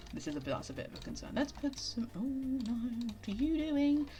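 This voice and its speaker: The speaker goes at a fairly quick pace with music in the background. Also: woman. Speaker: streamer. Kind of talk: casual live stream chat. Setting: live stream. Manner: loud; animated.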